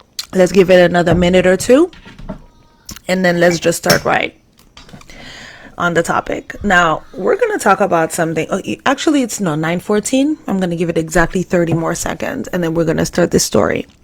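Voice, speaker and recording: Speaking at a fairly quick pace with ordinary pitch variation, a woman with a fairly low pitch is heard over noticeable background noise. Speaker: live stream host. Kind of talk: live stream talk. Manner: fast.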